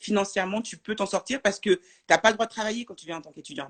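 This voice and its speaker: A woman speaks at medium pitch. The sound is dry and close, with no echo. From France. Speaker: French expat in the US. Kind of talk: casual interview chat. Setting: Instagram live video.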